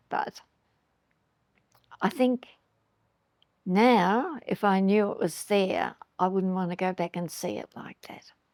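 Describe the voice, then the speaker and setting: A woman talks at a very slow pace, medium in pitch with ordinary pitch variation. Her loudness swings widely, and the sound is dry and close with no echo. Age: 90s. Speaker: eyewitness interviewee. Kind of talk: interview testimony. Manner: halting.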